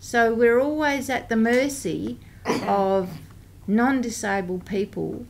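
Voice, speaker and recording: A woman with an Australian accent speaks at a very slow pace, with audible room echo around her voice. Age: 60s. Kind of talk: parliamentary briefing speech. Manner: hesitant with frequent ums.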